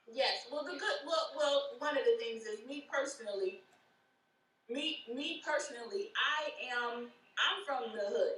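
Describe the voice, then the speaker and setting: At a fairly slow pace, a woman with an American accent speaks in a high pitch with very wide pitch swings and a bright, sharp tone, with audible room echo. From Buffalo, New York. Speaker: women's organization leader. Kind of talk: interview. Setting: live stream.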